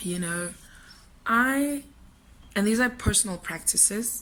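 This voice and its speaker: A woman speaks at a moderate pace with ordinary pitch variation and a bright, sharp tone. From South Africa. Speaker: vlogger. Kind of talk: casual vlog monologue. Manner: quieter than usual.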